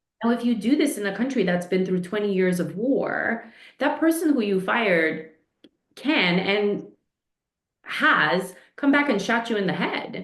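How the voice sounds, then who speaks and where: With an American accent, a woman speaks at a medium pitch and with lively intonation, while audible echo fills the room. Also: fairly slow pace. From New York, inner city, Eastern European family. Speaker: leadership coach. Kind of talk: podcast interview.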